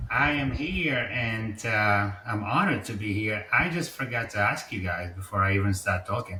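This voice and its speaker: Speaking with hardly any pauses, a man keeps a moderate pace, his fairly low pitch showing ordinary variation. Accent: Czech. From Czech Republic. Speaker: insurance salesperson. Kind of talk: casual interview.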